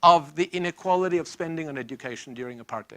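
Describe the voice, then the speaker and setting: Speaking fairly quickly with a South African accent, a man uses a fairly high, bright, sharp voice and lively intonation, recorded with a dry, close sound and no echo. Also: very clean recording, silent background. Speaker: professor. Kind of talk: lecture.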